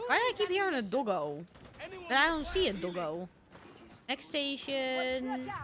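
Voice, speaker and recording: Amid noticeable background noise, the speaker uses an animated tone at a fairly slow pace with long, frequent pauses. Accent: strong Dutch. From Netherlands. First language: Dutch. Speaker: streamer. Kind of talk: live gaming stream chat.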